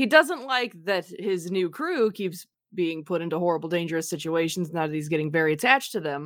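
Recorded very cleanly against a silent background, a woman speaks at a fairly low pitch with ordinary pitch variation. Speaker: tabletop game player. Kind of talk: casual tabletop game banter. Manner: jokey, animated.

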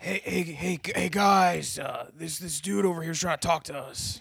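At a fairly slow pace, a raspy put-on character voice speaks at a middle pitch. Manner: strange put-on voice.

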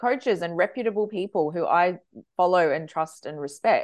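With an Australian accent, a woman speaks at a moderate pace and medium pitch, her intonation lively. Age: 40s. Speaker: social media manager. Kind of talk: interview.

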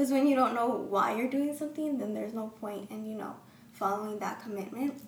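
A woman talking at a fairly quick pace, ordinary pitch variation, big swings in loudness, and noticeable background noise. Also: fairly high pitch for a woman. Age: young. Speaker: college student and pastor's kid. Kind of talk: casual chat. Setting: studio.

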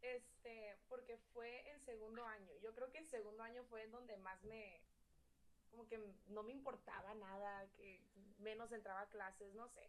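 A woman talks at a fairly slow pace with fairly even intonation and a fairly high pitch. Hers is an unremarkable speaking voice. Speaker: podcast guest. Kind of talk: casual chat.

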